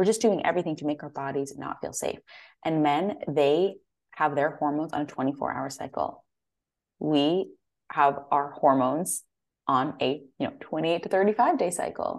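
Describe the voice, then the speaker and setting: At a moderate pace over a quiet background, a woman with an American accent speaks at a very deep, low pitch with ordinary pitch variation. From US Northeast, Connecticut. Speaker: holistic nutritionist. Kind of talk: interview conversation.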